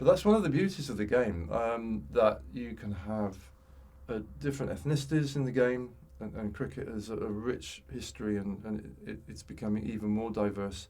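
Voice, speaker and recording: A man with a fairly low pitch and a dark, mellow tone speaks at a moderate pace, with audible room echo. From West Midlands, England (Tipton, Wolverhampton). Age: 60s. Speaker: former cricketer. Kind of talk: interview conversation. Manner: halting, many fillers and repeats.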